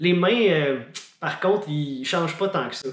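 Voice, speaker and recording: Audible room echo surrounds a man's voice. He talks at a moderate pace with lively intonation. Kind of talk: casual vlog.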